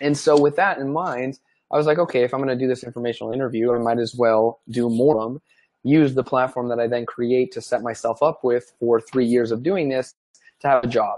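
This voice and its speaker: The quiet background carries a man with an ordinary speaking voice at a medium pitch. He talks at a fairly quick pace with fairly even intonation. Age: 20s. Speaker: sports media founder and CEO. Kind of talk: interview.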